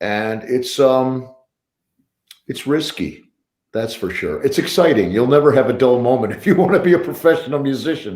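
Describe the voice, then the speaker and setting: Audible room echo surrounds a man speaking at a medium pitch. He has a western New York accent and lively intonation. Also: moderate pace. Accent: American (western New York). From US Northeast (Buffalo, New York). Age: 60s. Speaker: professional drummer. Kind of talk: casual interview on a livestream.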